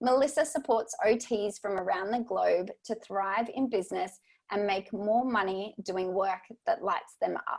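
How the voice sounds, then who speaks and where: With an Australian accent, a woman speaks at a fairly high pitch and a fairly slow pace. Her intonation is lively. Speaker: podcast host. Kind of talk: podcast interview.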